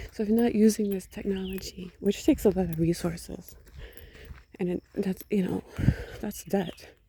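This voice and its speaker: A woman's somewhat breathy voice carries a dark, mellow tone, broken by long, frequent pauses. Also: medium pitch for a woman, fairly even intonation, moderate pace. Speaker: vlogger. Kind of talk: personal monologue rant. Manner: soft-spoken.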